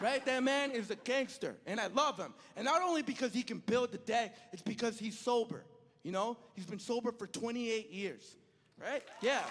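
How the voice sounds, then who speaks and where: Man with an extremely high pitch, ordinary pitch variation and a moderate pace. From El Salvador. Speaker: stand-up comedian. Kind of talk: stand-up. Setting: stage with audience.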